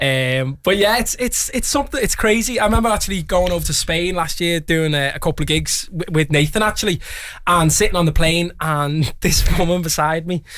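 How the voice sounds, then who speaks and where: Noticeable background noise sits behind a man talking at a fairly quick pace. His voice is high-pitched, with lively intonation. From Liverpool, England. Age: 20s. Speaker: singer. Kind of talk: casual chat. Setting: radio studio.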